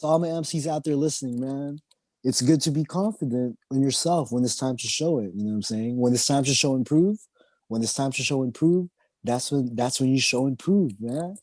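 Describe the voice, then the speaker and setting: This man talks at a fairly quick pace with a fairly high pitch. His pitch varies in an ordinary way, and the background is quiet. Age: 30s. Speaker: underground rapper. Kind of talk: casual interview chat. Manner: animated.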